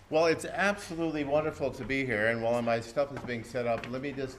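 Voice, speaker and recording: The clip carries audible room echo and noticeable background noise. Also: man. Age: 60s. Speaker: professor, keynote speaker. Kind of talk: keynote lecture.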